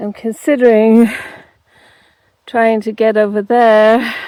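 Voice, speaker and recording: Very slowly, a woman speaks at a fairly high pitch in a dry, close sound with no echo. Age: 60s. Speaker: travel vlogger. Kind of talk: casual vlog narration while hiking. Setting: outdoors. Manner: halting, many fillers.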